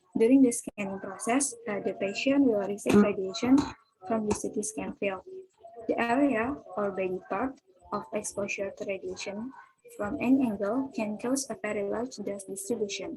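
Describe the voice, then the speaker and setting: A woman speaks at a moderate pace with ordinary pitch variation. Her pitch sits fairly high. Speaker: physics student presenter. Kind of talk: student presentation. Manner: reading from notes.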